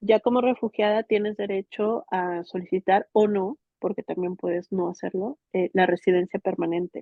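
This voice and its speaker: Her medium-pitched voice moves at a moderate pace with fairly even intonation and hardly any pauses as this woman speaks. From Mexico. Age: 30s. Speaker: migrant interviewee. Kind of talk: interview testimony. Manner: halting, many repetitions and fillers.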